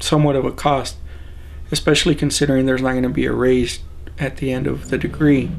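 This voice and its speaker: A man moves at a fairly quick pace as noticeable background noise sounds behind him. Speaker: graduate student. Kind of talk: interview answer.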